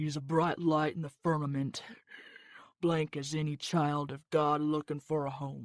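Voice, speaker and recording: A put-on character voice at a middle pitch, delivered at a fairly slow pace with flat, monotone intonation. The recording is very clean, with a silent background. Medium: read story.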